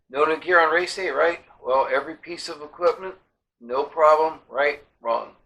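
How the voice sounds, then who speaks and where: Bright and sharp in tone, a man with a fairly high pitch speaks at a moderate pace with fairly even intonation. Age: 60s. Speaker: triathlon coach. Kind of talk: storytelling monologue. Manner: casual, conversational.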